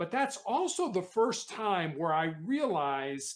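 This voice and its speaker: A high-pitched man's voice with an American accent. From Chicago, US Midwest. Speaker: motivational speaker and author. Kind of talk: podcast interview. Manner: halting, many repeated words.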